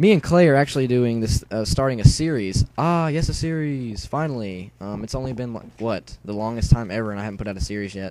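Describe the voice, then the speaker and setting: Packed with hardly any pauses, a man's dark, mellow voice races at a very fast pace with lively intonation and big swings in loudness. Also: medium pitch for a man. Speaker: gaming youtuber. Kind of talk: gameplay commentary. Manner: stuttering.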